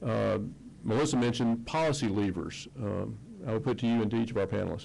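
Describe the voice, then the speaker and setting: In a Mississippi accent, a man talks at a very fast pace with a medium pitch, ordinary pitch variation, very even loudness, vocal fry and a dark, mellow tone, with audible room echo. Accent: Southern US (Mississippi). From US South, Mississippi. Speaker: panel moderator. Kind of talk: panel discussion.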